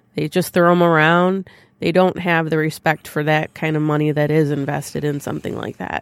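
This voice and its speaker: A woman with a plain, everyday voice and fairly low pitch speaks at a moderate pace with fairly even intonation, recorded very cleanly against a silent background with a dry, close sound and no echo. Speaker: podcast co-host and producer. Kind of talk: casual chat.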